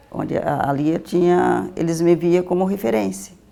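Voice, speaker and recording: Over music in the background, a woman's pitch swings very widely. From Vale do Jequitinhonha, Minas Gerais, Brazil. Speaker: social educator. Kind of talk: interview answer.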